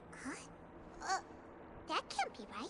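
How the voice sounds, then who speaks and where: A put-on character voice at an extremely high pitch comes through loud background noise. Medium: video game. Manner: excitable, expressive.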